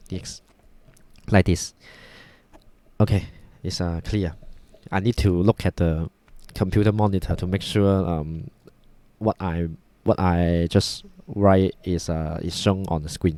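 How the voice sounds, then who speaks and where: In a Cantonese accent, a man speaks at a fairly slow pace with long, frequent pauses, his very deep, low voice dark and mellow. His intonation is fairly even, and the sound is dry and close with no echo. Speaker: math tutor. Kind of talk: tutorial. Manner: halting, many fillers.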